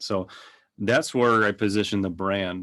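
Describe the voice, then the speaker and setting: In a Minnesotan accent, a man speaks with a fairly low pitch and fairly even intonation. The pace is fairly slow and the background quiet. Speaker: digital agency owner. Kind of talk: podcast interview. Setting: podcast.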